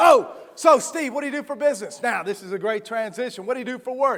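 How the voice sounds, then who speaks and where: Extremely high in pitch, a man speaks at a fairly quick pace. His intonation is lively. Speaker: motivational speaker. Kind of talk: keynote speech to a live audience. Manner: high energy, humorous.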